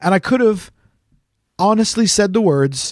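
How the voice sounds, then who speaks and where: Man with a Canadian accent, lively intonation and moderate pace, on a very clean recording with a silent background. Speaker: podcast co-host. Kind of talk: casual chat. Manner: animated storytelling.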